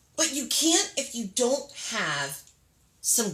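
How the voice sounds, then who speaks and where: A woman with lively intonation at a very slow pace, with audible room echo. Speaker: makeup artist and beauty business owner. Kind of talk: casual live stream chat. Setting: live video stream. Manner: chatty, lots of filler words.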